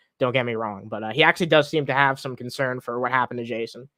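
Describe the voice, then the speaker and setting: Talking at a very fast pace, a man has a bright, sharp tone in a dry, close sound with no echo. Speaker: streamer commenting on online personalities. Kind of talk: live stream commentary. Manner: mumbling, stumbling over words; casual, profane.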